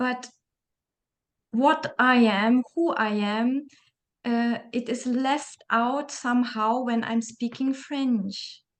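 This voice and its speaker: A woman with a German accent speaks at a very slow pace, her high voice keeping a fairly even intonation. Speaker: interview host. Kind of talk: interview conversation.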